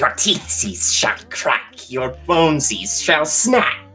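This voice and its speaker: A put-on character voice at a low-to-middle pitch speaks at a very slow pace. Clear music plays in the background. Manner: menacing, croaky.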